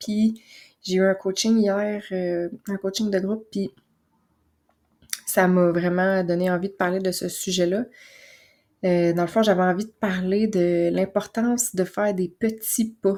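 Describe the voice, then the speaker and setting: Soft-spoken and very slow, a woman with a Quebec accent talks in a dark, mellow tone with monotone, flat intonation and long, frequent pauses. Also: medium pitch for a woman. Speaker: naturopath and podcast host. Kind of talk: casual podcast monologue. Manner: soft, calm; hesitant with fillers.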